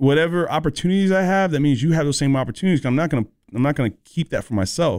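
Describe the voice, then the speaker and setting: Talking at a very fast pace in an American accent, a man with a fairly high pitch uses lively intonation and very even loudness, recorded very cleanly with a silent background and a dry, close sound with no echo. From Southern California, then North Carolina from age eleven. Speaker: music producer. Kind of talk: casual interview. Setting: radio studio.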